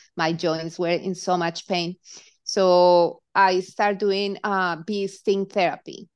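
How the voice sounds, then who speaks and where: With a Colombian accent, a woman speaks at a very slow pace in a monotone, flat intonation against a quiet background. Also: medium pitch for a woman. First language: Spanish. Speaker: hypnotherapist. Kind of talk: interview.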